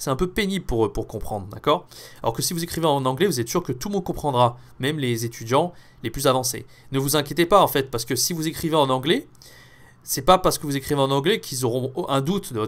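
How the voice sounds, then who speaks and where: A man talks very fast with a fairly high pitch and ordinary pitch variation, recorded very cleanly with a silent background. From France. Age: 20s. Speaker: French teacher. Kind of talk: tutorial. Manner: casual, with many fillers.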